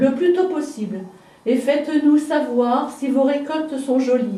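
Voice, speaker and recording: There is noticeable background noise as a woman talks. She has a high pitch and a very slow pace. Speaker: local heritage guide. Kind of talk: guided house tour, casual explanation.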